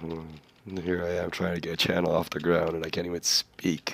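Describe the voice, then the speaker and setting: A man with a very deep, low pitch, monotone and flat in intonation, at a moderate pace. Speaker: gaming streamer. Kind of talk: live gameplay stream chat. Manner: casual, hesitant with fillers.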